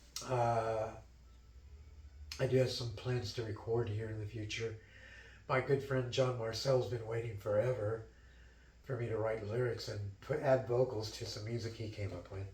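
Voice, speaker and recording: A man talks at a moderate pace and a medium pitch, with long, frequent pauses. Audible room echo surrounds his voice. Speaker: musician. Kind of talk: interview.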